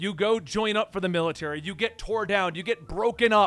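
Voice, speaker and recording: A loud, animated man talking at a very fast clip, with ordinary pitch variation. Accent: American. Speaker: army veteran and commentary youtuber. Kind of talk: casual commentary monologue.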